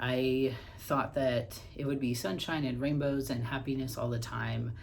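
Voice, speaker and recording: Somewhat breathy and monotone, a man talks at a medium pitch and a fairly slow pace, with audible room echo around him. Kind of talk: casual personal vlog. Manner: hesitant, many fillers.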